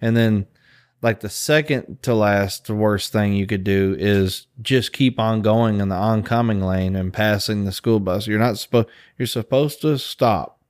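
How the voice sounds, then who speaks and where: Quiet and fairly slow, the speech carries a Southern US accent and fairly even intonation on a very clean recording with a silent background. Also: man, fairly low pitch for a man. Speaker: podcast host. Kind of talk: casual chat. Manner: calm, quiet.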